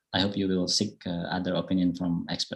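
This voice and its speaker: This is a man speaking. His voice sits fairly low. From Indonesia, Bali. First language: Indonesian. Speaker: public speaking presenter. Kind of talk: online workshop Q&A answers.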